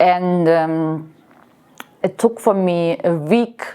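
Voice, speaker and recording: Very slow speech comes from a woman with a fairly low pitch. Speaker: body modification vlogger. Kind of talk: casual vlog talk. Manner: halting, repeating words.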